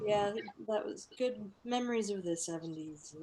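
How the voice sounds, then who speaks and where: A plain, everyday voice from a woman with an American accent, fairly high in pitch, at a moderate pace with lively intonation. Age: 40s. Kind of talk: casual chat.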